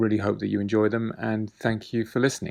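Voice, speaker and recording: A man with a British accent speaks over a quiet background. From UK. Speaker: artist. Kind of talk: artist talk about own work.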